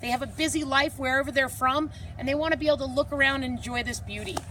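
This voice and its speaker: With noticeable background noise around her, a woman talks at a fairly quick pace. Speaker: outdoor guide and trainer. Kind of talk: presentation to a group. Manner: animated.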